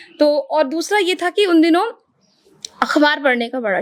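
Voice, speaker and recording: A woman with a high voice talks at a moderate pace, her intonation lively. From Uttarakhand, India. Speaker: radio anchor and voice artist. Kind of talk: podcast interview answer.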